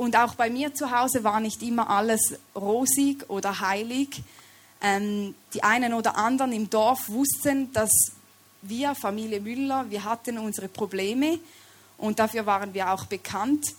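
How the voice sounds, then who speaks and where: Over noticeable background noise, a woman with a Swiss German accent and a fairly high pitch speaks at a fairly slow pace with ordinary pitch variation. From Switzerland. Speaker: lay preacher. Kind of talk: sermon.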